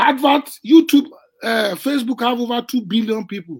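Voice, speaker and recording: At a moderate pace, a man talks with a high pitch. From Nigeria. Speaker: wealth coach and real estate investor. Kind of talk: interview about business and income.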